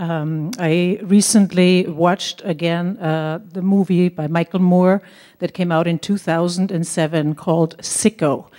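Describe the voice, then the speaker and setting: A woman with an Austrian accent, fairly low-pitched, in monotone, flat intonation at a fairly slow pace with hardly any pauses. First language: German. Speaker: local resident speaking at hearing. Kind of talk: public comment speech.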